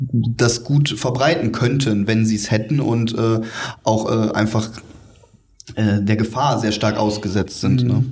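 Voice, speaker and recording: Against noticeable background noise, a man with a medium pitch speaks at a very slow pace with long, frequent pauses, very even loudness and fairly even intonation. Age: 20s. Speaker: geriatric nurse. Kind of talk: interview. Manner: halting, many fillers.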